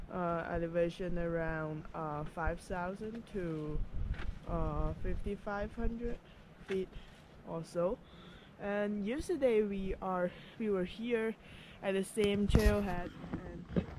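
Amid noticeable background noise, a woman speaks at a very slow pace with long, frequent pauses, the sound dry with no echo. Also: ordinary pitch variation. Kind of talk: casual vlog chat. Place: forest. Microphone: phone near.

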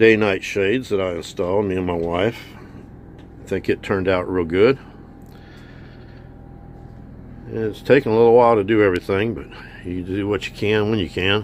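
A man with a fairly low pitch talks at a moderate pace, with fairly even intonation and long, frequent pauses. The sound is dry with no echo, and there is light background noise. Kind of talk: casual tour narration. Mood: relaxed, pleased. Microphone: phone near.

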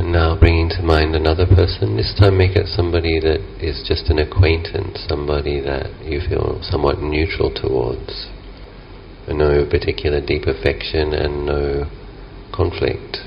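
Light background noise sits under speech delivered at a moderate pace. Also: man. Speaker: meditation teacher. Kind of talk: guided meditation. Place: garden.

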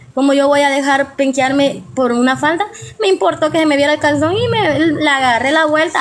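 A woman speaks at a fast pace. Her pitch is high.

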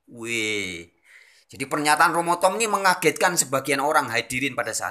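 Pitch swings very widely as a man talks. He keeps a moderate speed over a quiet background. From Indonesia. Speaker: religious video channel host; religious commentator. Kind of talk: lecture. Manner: formal, expository. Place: home room. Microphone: phone near.

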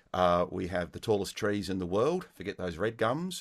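On a very clean recording with a silent background, a man with an Australian accent speaks at a moderate pace and fairly low pitch. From Melbourne, Australia. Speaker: music teacher. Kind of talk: casual interview.

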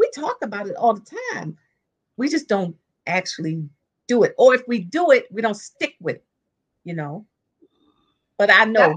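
A woman speaks at a moderate pace, somewhat breathy, with very wide pitch swings and big swings in loudness. Long, frequent pauses break up her speech over a quiet background. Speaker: caller. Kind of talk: interview answer. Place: home room. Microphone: video call.

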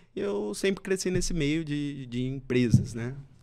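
A man speaks fairly slowly with a quiet background behind him. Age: 30s. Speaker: entrepreneur; podcast guest. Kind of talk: interview. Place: studio. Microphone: studio mic.

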